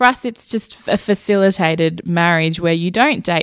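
A woman's fairly low voice with an Australian accent, at a moderate pace, dry and close with no echo on a very clean recording with a silent background. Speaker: storyteller and podcaster. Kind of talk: interview; storytelling performance.

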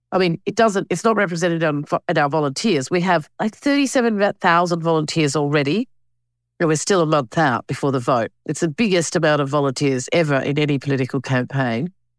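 A woman's very deep, low voice with an Australian accent, lively in intonation and very even in loudness, at a fairly quick pace, in a very clean, silent recording with a dry, close sound and no echo. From Australia (Alice Springs and Canberra). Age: 50s. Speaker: filmmaker and campaign co-chair. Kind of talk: interview.

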